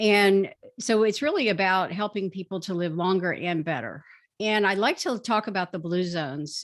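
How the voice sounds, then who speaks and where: A woman with an ordinary speaking voice talks at a moderate pace and a medium pitch with ordinary pitch variation. The background is quiet. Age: 60s. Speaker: physician and author. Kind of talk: interview talk on health.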